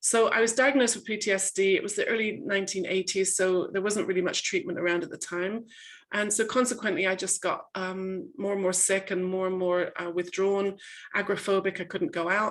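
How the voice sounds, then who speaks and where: A woman speaks in an English accent at a fairly quick pace. Her pitch is medium, with ordinary variation. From England. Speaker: coach and author. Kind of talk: webinar talk. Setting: video call. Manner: hesitant, many fillers.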